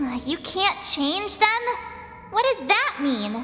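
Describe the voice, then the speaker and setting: Clear background noise sits behind a put-on character voice, high in pitch and fairly slow. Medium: video game. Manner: casual, inquisitive.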